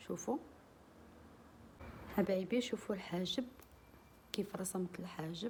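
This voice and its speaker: Here a woman is speaking. Her voice is somewhat breathy. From Morocco. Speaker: beauty and cooking vlogger. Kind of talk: tutorial. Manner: casual, friendly.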